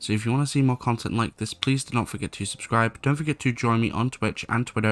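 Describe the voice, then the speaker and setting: Quiet and very fast, a man talks in a dry, close sound with no echo. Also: very clean recording, silent background. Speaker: gaming YouTuber and streamer. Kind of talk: gameplay commentary. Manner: a little quiet, late-night recording.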